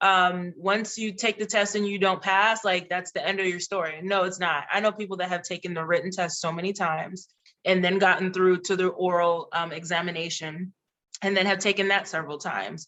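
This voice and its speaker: A woman with a Haitian accent and a medium pitch talks at a fairly quick pace in a monotone, flat way. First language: Haitian Creole. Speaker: diplomat. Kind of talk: panel discussion advice. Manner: casual with frequent fillers and restarts.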